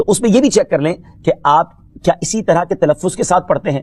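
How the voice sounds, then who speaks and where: A man's lively-sounding speech, dry and close with no echo. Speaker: Islamic preacher. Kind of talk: religious TV program talk.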